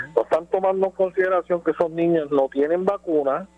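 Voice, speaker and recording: A dry, close sound with no echo and noticeable background noise, at a moderate pace with ordinary pitch variation. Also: man. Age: 60s. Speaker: caller. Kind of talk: radio call-in.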